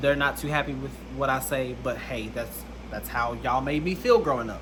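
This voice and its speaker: A man speaks with an Alabama accent at a moderate pace. There is audible room echo. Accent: Southern US (Alabama). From US South, Alabama. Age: 20s. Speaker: content creator. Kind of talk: personal testimony vlog.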